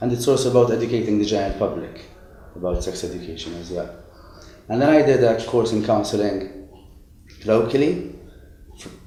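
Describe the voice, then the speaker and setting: A man speaks very fast at medium pitch, with ordinary pitch variation. Long, frequent pauses break up his speech, and room echo is audible. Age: 20s. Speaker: psychotherapist in training. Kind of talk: interview.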